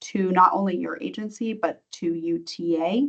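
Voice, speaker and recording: Delivered at a fairly slow pace, a plain, everyday voice carries fairly even intonation. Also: woman. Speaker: grant program trainer. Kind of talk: online training presentation. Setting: video call.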